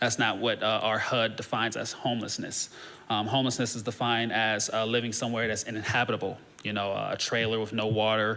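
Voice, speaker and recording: Amid audible room echo, a man speaks very fast in a monotone, flat voice. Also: medium pitch for a man. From northeast Ohio, US Midwest. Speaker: social services worker. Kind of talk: presentation to a church congregation. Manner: halting, many filler words.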